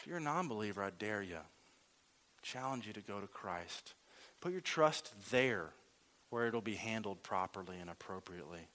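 With a Southern US accent, a man of fairly low pitch speaks at a moderate pace in a bright, sharp tone, his intonation lively and his pauses long and frequent. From Louisiana. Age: 30s. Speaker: lay preacher. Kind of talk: sermon.

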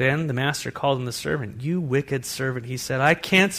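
What you hear is plain reading aloud.

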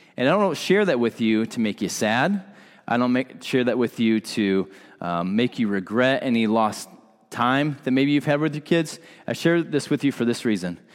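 An ordinary speaking voice from a man at medium pitch, moderate pace, and lively intonation, on a very clean recording with a silent background. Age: 30s. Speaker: pastor. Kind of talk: sermon.

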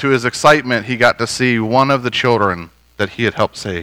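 With an American accent, a man speaks at a medium pitch in a bright, sharp tone with ordinary pitch variation. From US, northern Virginia (DC suburbs). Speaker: pastor. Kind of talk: sermon.

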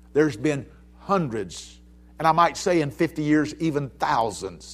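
The speaker has an Alabama accent. The recording is very clean, with a silent background. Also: man. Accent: Southern US (Alabama). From US South, Mobile, Alabama. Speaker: pastor. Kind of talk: sermon. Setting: church. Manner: animated.

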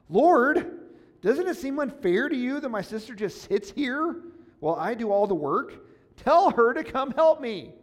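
Putting on a whiny character voice, a man speaks at a moderate pace with an extremely high pitch. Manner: whiny, complaining.

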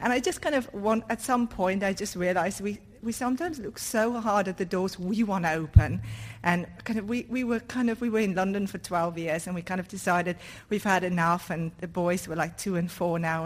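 A woman's ordinary speaking voice at a medium pitch, fairly quick, with ordinary pitch variation, in a very clean recording with a silent background. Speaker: church member. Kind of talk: testimony. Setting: church.

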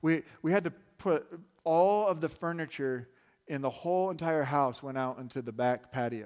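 A man with an American accent has a plain, everyday voice at a fairly high pitch with ordinary pitch variation, speaking at a moderate pace in a very clean recording with a silent background. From Arizona. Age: 30s. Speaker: pastor. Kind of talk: sermon. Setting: church with congregation.

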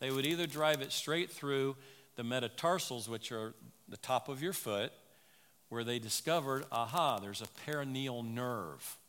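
A man at a medium pitch and moderate pace with ordinary pitch variation, an unremarkable speaking voice. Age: 60s. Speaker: medical missionary doctor. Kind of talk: sermon. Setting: church pulpit.

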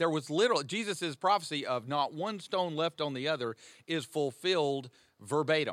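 With an American accent, this man has a normal speaking voice, fairly high in pitch, with ordinary pitch variation and a moderate pace. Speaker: pastor. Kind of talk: teaching discussion on a podcast. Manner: conversational, joking.

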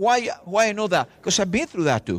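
A man with a Latin American accent in a passionate, animated tone, his sound dry and close with no echo. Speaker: visiting preacher. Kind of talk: sermon. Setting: church with audience. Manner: fast talker.

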